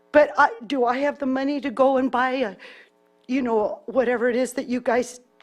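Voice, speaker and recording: Over music in the background, a woman with a high pitch talks at a moderate pace in a monotone, flat intonation, with long, frequent pauses. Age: 60s. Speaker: public commenter. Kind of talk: public testimony.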